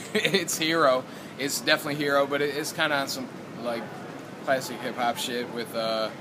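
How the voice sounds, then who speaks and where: In a Michigan accent, a man speaks at a moderate pace with ordinary pitch variation, with audible room echo and noticeable background noise. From Michigan, US Midwest. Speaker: rapper. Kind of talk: casual interview. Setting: outdoors after a show.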